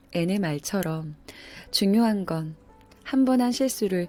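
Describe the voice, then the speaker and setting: With music playing behind her, the woman's intonation rises and falls in a lively way. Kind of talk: audiobook-style essay reading.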